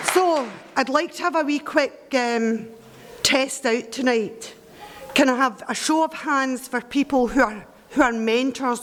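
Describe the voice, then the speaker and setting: Against noticeable background noise, a woman with a Scottish accent and a high pitch talks at a fairly slow pace with ordinary pitch variation. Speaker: mentoring volunteer. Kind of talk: speech to audience. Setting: event hall with audience.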